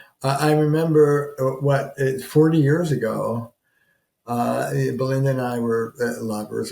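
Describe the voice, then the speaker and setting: A man talks at a fairly slow pace with a medium pitch and a dark, mellow tone. His voice is somewhat breathy, and his intonation fairly even. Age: 70s. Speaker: couples therapist. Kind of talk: advice talk to camera. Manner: halting, many fillers and restarts.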